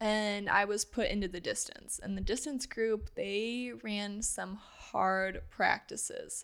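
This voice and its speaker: A woman with an American accent, very slow in pace, with hardly any pauses. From US Midwest, Granite City, Illinois. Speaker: former college swimmer, registered nurse. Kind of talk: casual interview.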